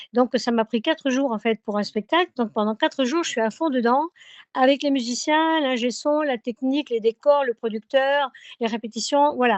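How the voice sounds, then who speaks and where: A woman's high-pitched voice with a southern French accent. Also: ordinary pitch variation, moderate pace. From southern France. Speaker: singer. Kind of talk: radio interview. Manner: hesitant, many fillers.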